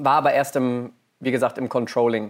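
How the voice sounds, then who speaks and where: A man with a medium-pitched voice is captured on a very clean recording with a silent background. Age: 30s. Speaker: business innovation manager. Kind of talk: interview. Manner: hesitant with many fillers.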